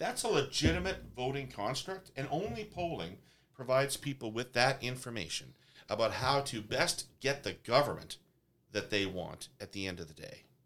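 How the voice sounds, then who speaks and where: A man with a Canadian accent and vocal fry speaks at a moderate pace and medium pitch, with very wide pitch swings and big swings in loudness. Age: 50s. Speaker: pollster and political consultant. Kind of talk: discussion. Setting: studio.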